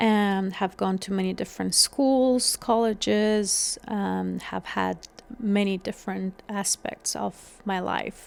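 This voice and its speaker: A woman with an Afghan accent talks at a very slow pace with hardly any pauses. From Afghanistan (Kabul). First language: Dari. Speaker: podcast host. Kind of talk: solo podcast monologue. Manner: some hesitations and fillers.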